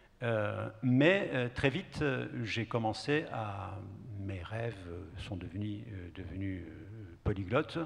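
A man's fairly low, somewhat breathy voice at a very slow pace, with long, frequent pauses and ordinary pitch variation. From Kurdish southeast Turkey. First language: Kurdish (speaking French). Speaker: poet. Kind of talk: panel discussion answer. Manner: halting. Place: stage. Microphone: handheld.

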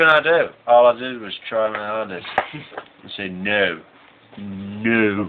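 With a Yorkshire accent, a man talks with ordinary pitch variation and big swings in loudness. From Yorkshire, England. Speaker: person filming. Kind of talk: casual banter among friends.

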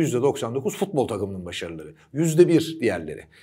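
Very wide pitch swings mark this man's speech. The background is quiet. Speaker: sports commentator. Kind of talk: commentary. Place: studio. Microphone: lapel.

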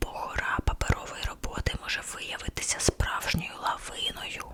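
Playful whispering at a moderate pace over noticeable background noise. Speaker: ASMR content creator. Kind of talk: ASMR horoscope reading. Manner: whispered, soft, playful.

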